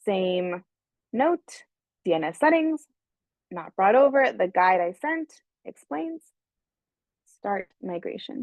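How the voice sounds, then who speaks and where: A woman at a medium pitch talks very slowly, her voice swinging very widely up and down, with long, frequent pauses. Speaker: webinar presenter for a software company. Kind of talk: live webinar tutorial with Q&A. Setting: online webinar. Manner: slow, deliberate explaining; hesitant, with fillers and restarts.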